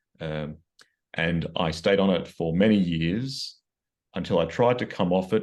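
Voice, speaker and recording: Against a quiet background, a man with an Australian accent speaks at a moderate pace in a very deep, low pitch with ordinary pitch variation. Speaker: psychiatrist. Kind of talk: interview. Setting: video call. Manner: halting.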